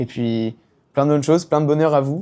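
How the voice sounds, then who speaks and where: At a very fast pace, a man talks in a dark, mellow tone. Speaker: YouTuber and CBD brand founder. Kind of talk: personal testimony vlog. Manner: hesitant, many fillers.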